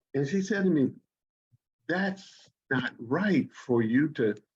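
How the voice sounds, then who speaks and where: The voice carries vocal fry and swings very widely in pitch. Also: man. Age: 70s. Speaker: Quaker minister and retired educator. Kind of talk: interview.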